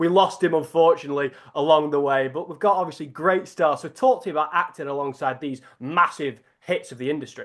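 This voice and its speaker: A man with a Lancashire accent, fairly high in pitch, fairly quick with hardly any pauses and ordinary pitch variation. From northern England, Preston, Lancashire. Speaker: sports journalist interviewer. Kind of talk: interview.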